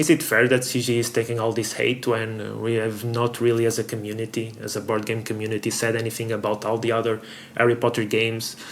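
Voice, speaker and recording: Here a man with a non-native accent speaks at a very fast pace. His medium-pitched delivery is monotone with flat intonation. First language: not English. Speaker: board game youtuber. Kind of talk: opinion commentary. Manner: halting.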